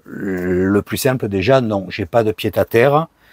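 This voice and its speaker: This man's fairly low voice comes through a very clean recording with a silent background and a dry, close sound with no echo. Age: 60s. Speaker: vanlife vlogger. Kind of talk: casual Q&A monologue. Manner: hesitant, many fillers.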